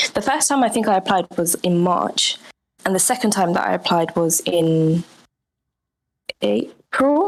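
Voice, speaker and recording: With an English accent, a woman speaks at a fairly slow pace, with a medium pitch and ordinary pitch variation. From England, London. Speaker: NFT artist. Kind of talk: interview.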